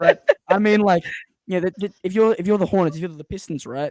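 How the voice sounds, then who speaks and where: Dark and mellow, a man's voice carries ordinary pitch variation. It sounds dry and close, with no echo. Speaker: sports podcast host. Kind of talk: live stream basketball draft discussion. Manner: fast.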